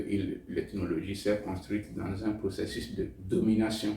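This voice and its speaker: A man speaks at a fairly slow pace with a fairly low pitch. Room echo is audible. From Togo. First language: Tem (speaking French). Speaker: novelist. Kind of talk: interview. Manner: hesitant, with fillers.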